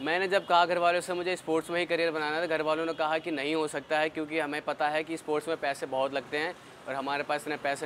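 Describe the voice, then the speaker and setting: Over noticeable background noise, a man with a fairly high pitch speaks in a monotone, flat intonation. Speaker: athlete. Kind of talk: interview.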